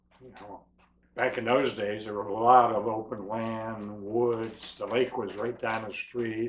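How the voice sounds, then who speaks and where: Over noticeable background noise, a man with a medium pitch talks at a fairly slow pace in a monotone, flat intonation, his loudness swinging widely. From western Pennsylvania / Youngstown, Ohio area. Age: 70s. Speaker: documentary interviewee. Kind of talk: life story interview.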